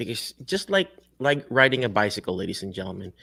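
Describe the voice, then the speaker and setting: In a Filipino accent, a man talks at a fairly quick pace with a fairly high pitch and very wide pitch swings, on a very clean recording with a silent background and a dry, close sound with no echo. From Philippines. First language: Tagalog or other Philippine language. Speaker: physical therapist and career coach show host. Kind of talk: interview show, motivational talk. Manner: animated, preachy.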